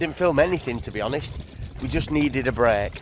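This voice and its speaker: Over noticeable background noise, a man with a fairly high pitch talks with ordinary pitch variation. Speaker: narrowboat vlogger. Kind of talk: casual vlog chat. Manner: casual, filler-heavy.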